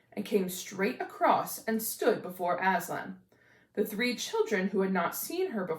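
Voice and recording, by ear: A natural voice, reading aloud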